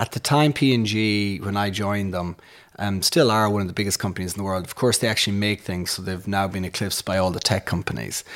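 A man with a Sligo accent at a very fast pace, fairly low in pitch, with ordinary pitch variation. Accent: rural Irish (Sligo). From Ireland, west Sligo. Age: 40s. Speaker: economics professor and entrepreneur. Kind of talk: interview conversation. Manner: hesitant, many fillers.

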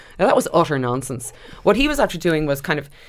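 Over noticeable background noise, a woman's voice moves through very wide pitch swings. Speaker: matchmaker.

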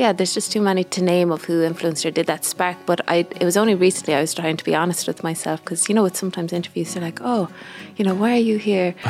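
Here a woman speaks at a very fast pace with a west of Ireland accent. Her pitch is fairly low and her intonation fairly even. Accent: west of Ireland Irish. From Ireland, Galway. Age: 20s. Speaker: singer-songwriter. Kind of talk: casual interview chat. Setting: recording studio.

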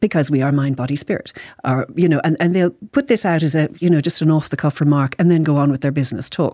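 At a very fast pace, a woman with an Irish accent speaks in a very deep, low pitch with ordinary pitch variation. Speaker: psychologist and author. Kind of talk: radio interview. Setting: studio.

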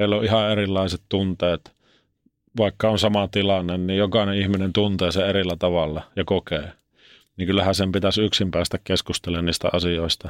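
A man talks at a moderate pace in a very deep, low pitch with monotone, flat intonation. The sound is dry and close with no echo, over a quiet background. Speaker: former ice hockey player and reality show contestant. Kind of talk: interview about mental health. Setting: studio. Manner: casual colloquial.

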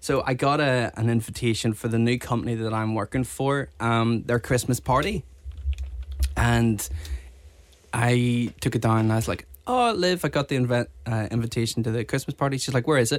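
A man talks in a plain, everyday voice at a medium pitch with ordinary pitch variation. His pace is moderate and his loudness very even. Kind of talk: casual chat.

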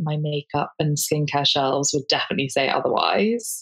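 A woman's normal speaking voice, fairly low in pitch, at a moderate pace. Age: 30s. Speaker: digital creator. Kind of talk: casual chat.

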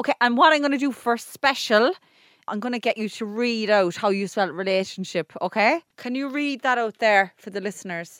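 Dry, close, and without echo, a woman speaks with an Irish accent at a moderate pace. Her pitch is fairly high and her intonation lively. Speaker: podcast co-host. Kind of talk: casual chat.

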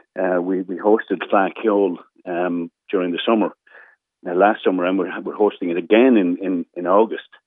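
This man has an Irish accent and a very deep, low voice. His intonation stays fairly even. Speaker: local councillor and former police officer. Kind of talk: radio interview.

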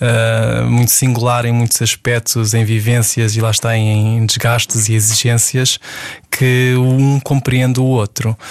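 Noticeable background noise sits behind a man of medium pitch in a dry, close sound with no echo. He talks at a fairly slow pace with monotone, flat intonation and very even loudness. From Portugal, Setúbal. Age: 40s. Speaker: ballet dancer and choreographer. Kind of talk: interview. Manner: halting.

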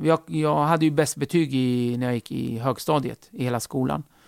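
Heard in a dry, close sound with no echo, a man with a plain, everyday voice speaks at a medium pitch with ordinary pitch variation. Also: very clean recording, silent background. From Kurdish region of Turkey, raised in Sweden from age 8. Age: 40s. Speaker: comedian. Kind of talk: casual interview.

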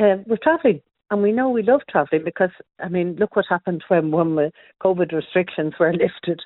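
A woman speaks with an Irish accent. Her pitch is fairly low, with ordinary variation. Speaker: travel writer. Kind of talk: radio interview. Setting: phone call.

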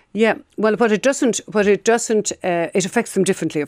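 A woman with a plain, everyday voice speaks at a moderate pace with ordinary pitch variation, the sound dry and close with no echo. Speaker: clinical psychotherapist. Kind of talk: radio interview. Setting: studio.

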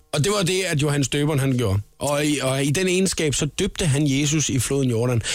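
At a moderate pace with hardly any pauses, a man speaks at a fairly high pitch with very even loudness and ordinary pitch variation over noticeable background noise. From Funen, Denmark. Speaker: radio host. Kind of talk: casual radio chat. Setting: radio studio.

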